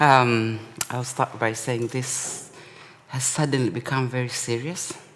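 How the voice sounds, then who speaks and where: A man's mid-pitched voice, with fairly level intonation, comes through amid clear background noise. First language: not English. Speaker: artist and academic. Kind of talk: artist talk. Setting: gallery talk with live audience.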